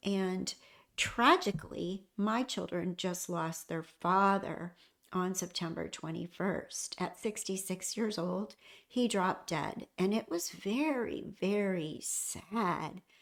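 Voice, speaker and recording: In a very clean recording with a silent background, a woman with a medium pitch and vocal fry speaks at a very slow pace with ordinary pitch variation. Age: 60s. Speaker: hospice nurse and lifestyle vlogger. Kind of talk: casual personal vlog talk.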